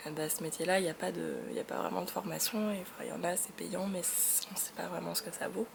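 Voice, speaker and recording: Soft-spoken and at a moderate pace, a woman talks over noticeable background noise. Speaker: vlogger. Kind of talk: casual vlog monologue. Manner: soft-spoken, low energy; hesitant, many fillers.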